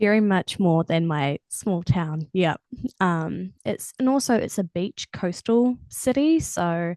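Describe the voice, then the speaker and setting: Speaking very slowly with a New Zealand accent, a woman uses a medium pitch, a dark, mellow tone and lively intonation, in a dry, close sound with no echo. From New Zealand, Matamata. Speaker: singer-songwriter. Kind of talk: casual chat.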